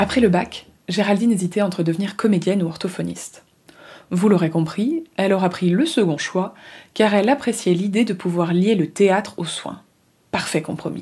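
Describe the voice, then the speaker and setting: Somewhat breathy and dark, mellow in tone, a woman speaks at medium pitch and a moderate pace with ordinary pitch variation. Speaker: podcast host and interviewer. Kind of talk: podcast interview.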